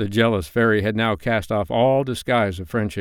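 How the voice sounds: Fairly even intonation runs through the natural reading voice here.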